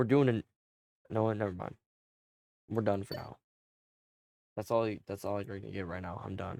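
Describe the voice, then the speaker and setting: A man with a fairly low voice and a dark, mellow tone talks with fairly even intonation, big swings in loudness, and long, frequent pauses. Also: moderate pace. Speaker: gaming streamer. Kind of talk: casual chat.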